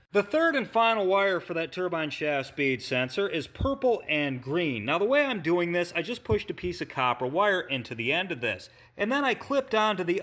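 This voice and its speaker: A man with a strong Midwestern accent sounds strained, with a high pitch and very wide pitch swings. He goes at a moderate pace in a very clean recording with a silent background. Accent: heavy Midwestern. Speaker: auto mechanic. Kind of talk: repair tutorial. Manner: careful enunciation; restrained, little enthusiasm.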